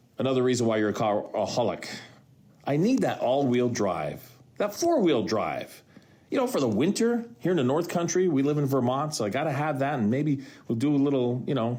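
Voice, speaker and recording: A man's fairly quick, animated speech at a fairly high pitch, with lively intonation, very even loudness and audible room echo. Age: 60s. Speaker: podcast host and radio broadcaster. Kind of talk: solo podcast monologue.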